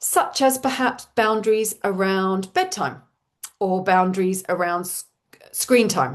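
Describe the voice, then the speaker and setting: A woman speaks at a fairly slow pace in an Australian accent, her pitch medium with ordinary variation. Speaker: parenting coach. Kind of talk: live webinar talk. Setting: online webinar with chat.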